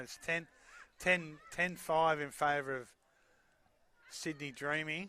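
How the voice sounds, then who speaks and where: A man with an Australian accent speaks at a fairly high pitch in a bright, sharp tone. His intonation is monotone and flat, with long, frequent pauses. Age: 60s. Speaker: sports commentator. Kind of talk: live commentary. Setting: commentary box at stadium.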